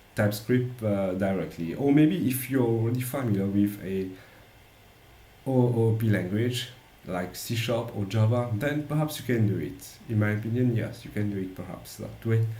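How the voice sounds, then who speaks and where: A man of medium pitch talks at a moderate speed with ordinary pitch variation, and the room's echo is audible. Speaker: software developer. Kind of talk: tutorial. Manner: halting.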